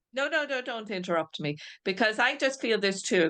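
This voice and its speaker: With an Irish accent, a woman talks at a moderate pace against a quiet background. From Ireland, Dublin. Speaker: spiritualist medium. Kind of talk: mediumship demonstration. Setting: video call. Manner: halting.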